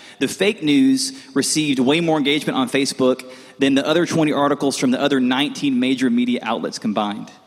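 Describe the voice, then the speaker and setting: Over noticeable background noise, a man with a fairly high pitch talks at a fairly quick pace with hardly any pauses, very even loudness and ordinary pitch variation. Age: 30s. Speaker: college pastor. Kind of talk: sermon. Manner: casual, conversational.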